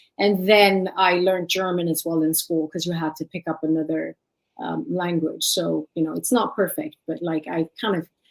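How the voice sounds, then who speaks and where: The voice has an Eritrean accent, fairly even intonation and a moderate pace. The sound is dry and close, with no echo. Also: woman, fairly low pitch for a woman. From Sweden, Eritrean family. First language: Tigrinya. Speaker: life and leadership coach. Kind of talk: interview.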